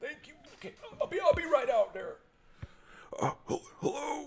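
Put-on character voice from a man, delivered at a moderate speed. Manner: hesitant, rambling.

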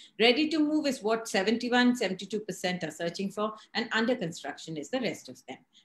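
A woman speaks at a moderate pace with a fairly high, somewhat breathy voice, very wide pitch swings, big swings in loudness and hardly any pauses. Audible room echo surrounds her. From India. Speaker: real estate editor and show host. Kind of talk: interview. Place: home room. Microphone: video call.

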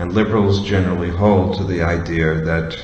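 The room echo is audible as a man speaks at a fairly slow pace. His voice is very deep and low. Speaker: religious teacher. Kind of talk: lecture. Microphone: podium.

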